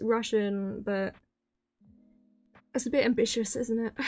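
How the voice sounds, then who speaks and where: A woman speaks with a fairly high pitch and ordinary pitch variation, her voice shaky. Music plays in the background. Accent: British. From Britain. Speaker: vtuber streamer. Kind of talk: casual chat.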